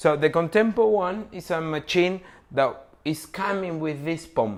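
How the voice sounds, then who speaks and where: A non-native accent at a fairly slow pace, with ordinary pitch variation. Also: man, high pitch for a man. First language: not English. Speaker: coffee machine distributor. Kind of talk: product tutorial. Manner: halting.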